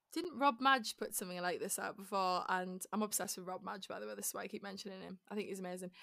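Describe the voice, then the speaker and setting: A woman with a Teesside accent speaks very fast in an animated, bright, sharp tone, with hardly any pauses, big swings in loudness, and ordinary variation around a medium pitch. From northern England, Middlesbrough. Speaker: musical theatre performer. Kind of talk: interview. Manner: animated, laughing often.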